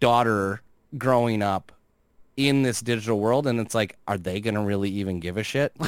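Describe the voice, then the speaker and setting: A man talks in a normal speaking voice at a medium pitch. His pitch variation is ordinary and his pace moderate. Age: 40s. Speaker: gaming commentator on social media. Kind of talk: casual chat.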